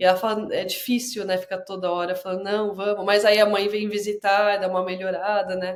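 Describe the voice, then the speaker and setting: A woman talks fairly quickly with hardly any pauses, in a monotone, flat intonation. Noticeable background noise runs behind her. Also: medium pitch for a woman. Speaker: podcast host. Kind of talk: interview conversation.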